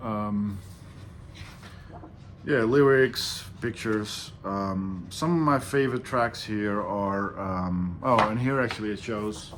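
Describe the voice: At a slow pace, a man speaks with a fairly low pitch and a fairly bright tone. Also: ordinary pitch variation.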